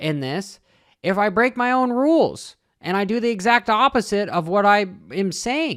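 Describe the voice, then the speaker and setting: Loud and lively in intonation, a high-pitched man speaks in a dry, close sound with no echo on a very clean recording with a silent background. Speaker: crypto trading youtuber. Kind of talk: casual vlog monologue. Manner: halting, repeats words.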